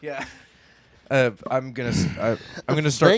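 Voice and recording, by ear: A man's medium-pitched voice at a moderate pace, with ordinary pitch variation, a plain, everyday voice.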